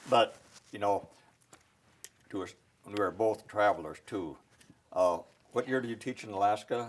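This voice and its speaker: A man with an Upper Midwest accent speaks at a moderate pace in a fairly low voice with ordinary pitch variation. He pauses long and often, and his loudness swings widely. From South Dakota, rural. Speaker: military veteran. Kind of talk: interview.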